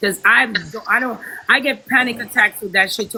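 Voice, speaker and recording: The delivery is animated and moves at a fairly quick pace. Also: woman. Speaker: MC and online personality. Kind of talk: casual chat.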